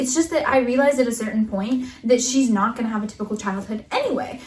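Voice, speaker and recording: Noticeable background noise sits behind the recording. A woman speaks in a high-pitched voice. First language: Russian. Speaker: podcast co-host. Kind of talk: casual chat.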